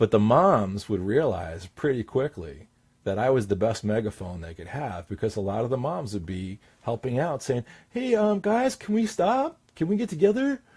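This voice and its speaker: A somewhat breathy man speaks at a moderate pace. His pitch swings very widely. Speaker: confidence coach and hypnotist. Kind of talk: talking-head tip video. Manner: commanding downward inflection.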